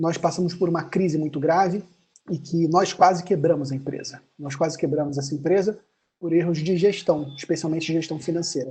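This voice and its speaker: Fairly quick speech with a Rio de Janeiro accent and a dark, mellow tone. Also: man. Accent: carioca accent, hissing s. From Brazil, Rio de Janeiro. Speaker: accounting firm owner. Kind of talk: webinar talk.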